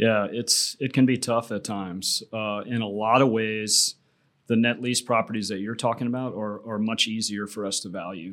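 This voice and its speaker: An ordinary speaking voice with an American accent talks at a moderate pace in a fairly even intonation. The recording is very clean, with a silent background. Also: man, medium pitch for a man. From Tampa, Florida. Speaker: commercial real estate appraiser. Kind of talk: interview.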